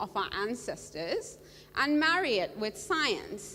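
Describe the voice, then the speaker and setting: A loud woman's voice with very wide pitch swings. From Bahrain. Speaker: coral reef scientist. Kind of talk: panel talk.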